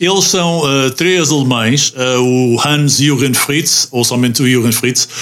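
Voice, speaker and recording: Very slow speech from a man at medium pitch with ordinary pitch variation, amid noticeable background noise. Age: 50s. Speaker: radio host. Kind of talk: casual chat.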